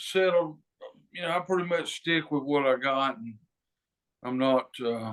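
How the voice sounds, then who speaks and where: Lively intonation marks this man's Southern US accent. He talks at a fairly slow pace. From North Carolina, near Charlotte. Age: 70s. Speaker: singer-songwriter. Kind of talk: interview. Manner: halting, many fillers.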